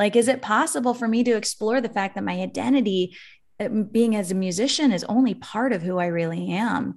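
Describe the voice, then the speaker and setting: On a very clean recording with a silent background, a woman speaks in a plain, everyday voice at a fairly quick pace, with fairly high pitch and ordinary pitch variation. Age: 40s. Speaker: musician and life coach. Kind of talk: casual chat.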